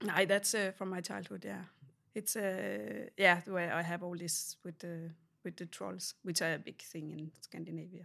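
A woman with a Danish accent and a fairly low pitch, bright, sharp tone and vocal fry, moderate pace, lively intonation and big swings in loudness, in a very clean recording with a silent background. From Denmark. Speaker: ceramic artist. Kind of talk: interview. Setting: artist's studio. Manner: halting.

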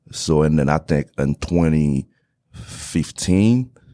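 Very deep, low male voice with vocal fry and a Haitian accent, dry and close with no echo, on a very clean recording with a silent background. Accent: Haitian Creole-accented English. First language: Haitian Creole. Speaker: real estate investor. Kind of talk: interview.

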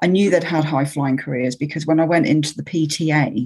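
At a fairly quick pace, a woman speaks with a very deep, low pitch and a somewhat breathy voice over a quiet background. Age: 50s. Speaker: podcast host. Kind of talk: interview.

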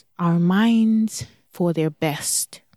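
The speaker, with a Nigerian accent, talks at a very slow pace in a very clean recording with a silent background and a dry, close sound with no echo. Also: woman. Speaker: parent coach podcast host. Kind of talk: solo podcast monologue. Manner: enthusiastic.

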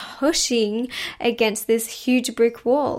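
A soft-spoken woman with a high pitch. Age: 20s. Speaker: spiritual mindset coach and podcast host. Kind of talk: casual solo monologue. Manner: timid.

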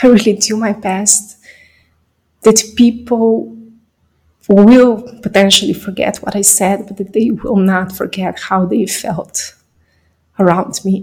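Very slowly, a woman speaks at a medium pitch, with long, frequent pauses. Her voice is somewhat breathy and her intonation fairly even. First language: not English. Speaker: podcaster. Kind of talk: personal monologue.

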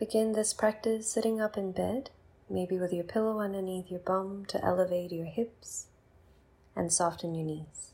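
With a medium pitch and fairly even intonation, a woman speaks in an unremarkable speaking voice. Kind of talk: guided meditation. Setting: bedtime, guiding listener alone in bed. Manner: slow, soothing, unhurried; soft-spoken, calm, with long pauses.

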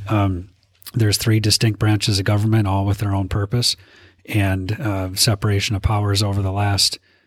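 A man with an Upper Midwest accent speaks at a fairly quick pace in a fairly low, somewhat breathy voice with monotone, flat intonation, in a very clean recording with a silent background. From North Dakota, Minot. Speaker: state legislator. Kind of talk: interview.

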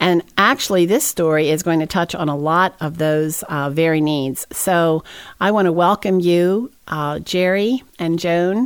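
In a very clean recording with a silent background, a woman with a fairly low pitch uses a normal speaking voice, speaking at a fairly slow pace with hardly any pauses and ordinary pitch variation. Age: 60s. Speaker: ministry podcast host. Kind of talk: interview.

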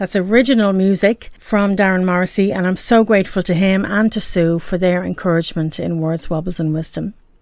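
A woman in an Irish accent, medium pitch and ordinary pitch variation at a fairly quick pace. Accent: Irish brogue. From Ireland, Dublin. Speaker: podcast host. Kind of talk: personal monologue podcast.

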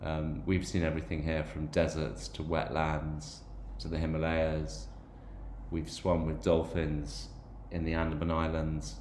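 A man's very deep, low voice with ordinary pitch variation and audible room echo. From Ireland/England (Irish and English background). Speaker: podcast host. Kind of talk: personal monologue podcast. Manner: hesitant with frequent fillers and repetitions.

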